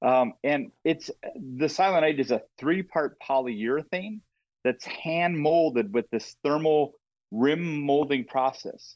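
A man with an Upper Midwest accent speaks at a very slow pace, with ordinary pitch variation and very even loudness. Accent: Upper Midwest (Minnesota). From Minnesota. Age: 50s. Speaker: brand marketer in the outdoor industry. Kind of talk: casual chat interview. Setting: remote call from a hunting camp.

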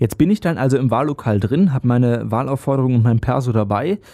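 In a dry, close sound with no echo, a man with a dark, mellow tone and medium pitch speaks fairly quickly with lively intonation. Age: young. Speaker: podcast host. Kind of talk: casual interview; scripted intro.

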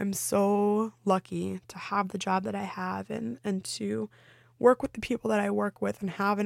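In a very clean recording with a silent background, a woman's voice sounds dry and close, without echo. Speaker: solo podcast host. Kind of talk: casual solo monologue. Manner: animated.

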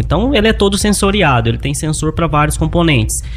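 The voice moves very fast. Behind it, background noise is noticeable. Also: man. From Minas Gerais, Brazil (Luz, near Divinópolis). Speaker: agricultural machinery mechanic. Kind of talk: interview.

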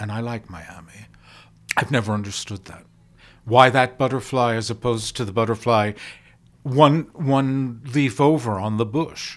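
A man with a normal speaking voice, medium pitch, ordinary pitch variation and big swings in loudness. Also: moderate pace. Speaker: podcast host. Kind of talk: interview.

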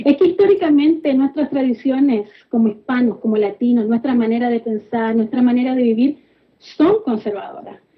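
With lively intonation and a high pitch, a woman talks at a moderate pace. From Chile. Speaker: political activist. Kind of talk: interview.

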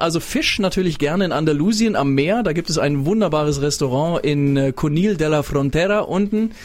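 This man has a high-pitched voice and speaks at a moderate pace. He leaves hardly any pauses. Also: very even loudness. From Swabia, Stuttgart area (early years in Berlin). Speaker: radio host. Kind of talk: casual chat. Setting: studio.

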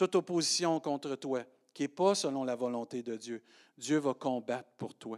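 A man's voice has a fairly high pitch and ordinary pitch variation. Behind him the background is silent, on a very clean recording. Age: 50s. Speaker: pastor. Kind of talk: sermon. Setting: church.

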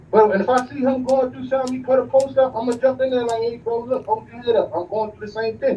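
A man talks at a very fast pace with hardly any pauses, his pitch extremely high and his intonation fairly even. His loudness swings widely, against noticeable background noise. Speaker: caller. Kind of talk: phone-in call. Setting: phone call. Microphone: clear line.

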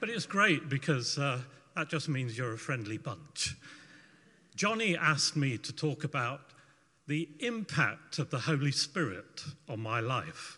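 A man speaks at a fairly high pitch with a bright, sharp tone. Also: lively intonation. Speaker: testimony giver. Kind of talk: testimony. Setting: church.

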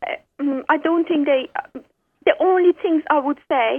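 A woman with an Iranian accent speaks at a moderate pace. Her voice is high, with ordinary pitch variation.

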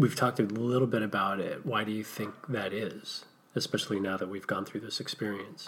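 Speaking at a moderate pace, a man uses an unremarkable speaking voice. His pitch is fairly low and his intonation fairly even. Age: 40s. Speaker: podcast co-host. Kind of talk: casual conversation between a couple.

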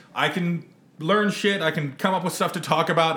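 A man talks at a high pitch while noticeable background noise carries on around him. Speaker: podcast co-host. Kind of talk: casual chat. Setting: outdoors.

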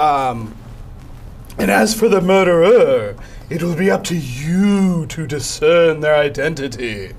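A man puts on a character voice with very wide pitch swings. He goes at a fairly slow pace over clear background noise. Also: fairly high pitch for a man. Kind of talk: affected, formal. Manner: difficult character voice, dramatic.

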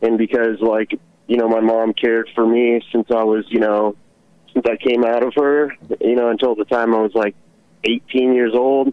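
This man talks at a moderate pace and medium pitch with an American accent, his intonation monotone and flat and his loudness very even. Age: 20s. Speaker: caller. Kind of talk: call-in radio conversation. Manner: halting, many fillers.

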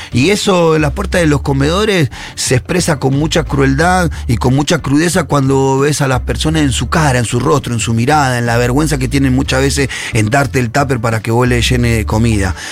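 Very wide pitch swings mark this voice, heard over noticeable background noise. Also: man, medium pitch for a man, fairly quick pace. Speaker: social activist columnist. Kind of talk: radio column discussion.

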